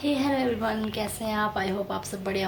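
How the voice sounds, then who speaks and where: Audible room echo and noticeable background noise surround the recording. A woman speaks at a moderate pace. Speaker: vlogger. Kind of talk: casual vlog talk.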